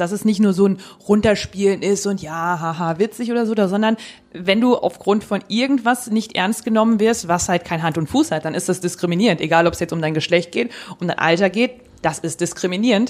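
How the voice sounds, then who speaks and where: This woman has an unremarkable speaking voice at a medium pitch. She talks fairly quickly with ordinary pitch variation. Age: 30s. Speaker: podcast co-host. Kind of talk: casual chat.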